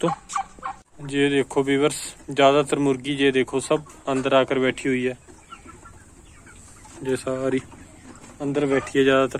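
A man's medium-pitched, monotone, flat delivery at a fairly slow pace, with long, frequent pauses

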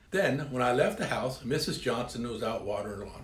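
A man's voice with audible room echo. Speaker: speaker. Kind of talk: storytelling talk to camera. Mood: humorous, playful. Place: home room.

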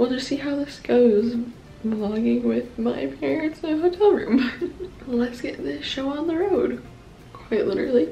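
The speech moves at a fairly slow pace with big swings in loudness. Music plays in the background. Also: woman. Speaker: vlogger. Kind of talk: casual vlog chat. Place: home room. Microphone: phone near.

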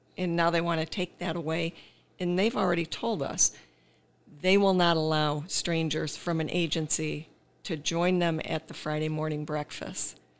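A woman with a normal speaking voice talks at a moderate pace and a fairly low pitch. Her intonation is fairly even on a very clean recording with a silent background. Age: 60s. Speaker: caregiver and former special education teacher. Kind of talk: testimony.

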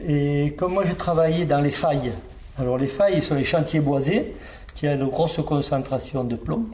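Speaking at a fairly slow pace, a man has a fairly high pitch. Room echo and background noise are both noticeable. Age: 60s. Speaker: retired miner. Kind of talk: interview testimony. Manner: halting, with repetitions.

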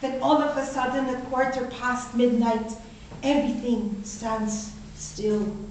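Over light background noise and audible room echo, a woman speaks in a high voice at a fairly slow pace. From Philippines. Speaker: toastmaster club speaker. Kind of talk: prepared speech. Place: meeting room. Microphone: camera far.

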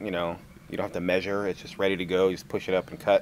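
Light background noise runs under this recording. A man speaks in a very deep, low pitch. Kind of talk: casual vlog chat. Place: open country.

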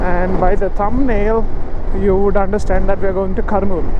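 Dry sound with no echo and noticeable background noise. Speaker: motovlogger. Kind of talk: casual vlog chat. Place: motorbike. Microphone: helmet.

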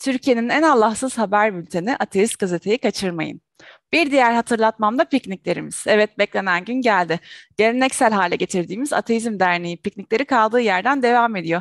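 A woman speaks at a fairly quick pace with ordinary pitch variation and very even loudness. The sound is dry with no echo, over a quiet background. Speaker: show host. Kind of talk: announcements to viewers. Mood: cheerful. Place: home room. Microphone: headset.

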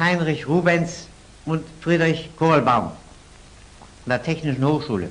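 This man's voice is high in pitch, with ordinary variation. He speaks at a fairly slow pace. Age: 80s+. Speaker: physicist. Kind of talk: interview answer. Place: studio. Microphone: old recording.

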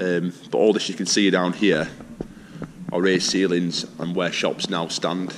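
Over noticeable background noise, a man speaks in a very deep, low voice with flat, monotone intonation. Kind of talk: casual vlog chat. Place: hall. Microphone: phone near.

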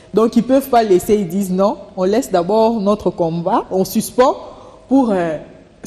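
A woman speaks with a medium pitch. Her pitch variation is ordinary. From DR Congo. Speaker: political analyst and journalist; political analyst, journalist. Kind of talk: TV interview. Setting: TV studio. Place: studio.

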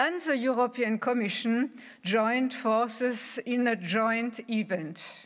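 Over a quiet background, a woman speaks very slowly in a high voice. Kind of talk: formal welcome speech. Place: hall. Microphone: podium.

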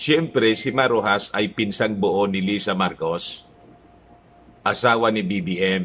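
A man with a fairly low pitch talks at a very slow pace with ordinary pitch variation. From Philippines. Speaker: political vlogger. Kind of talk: news commentary. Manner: casual, halting with fillers. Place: home room. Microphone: phone near.

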